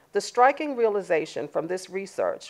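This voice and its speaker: With a slight Southern US accent, a woman talks at a fairly quick pace over a quiet background. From Washington, D C, US. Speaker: keynote speaker, sociologist. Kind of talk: keynote speech. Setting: live event with in-person and online audience. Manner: formal.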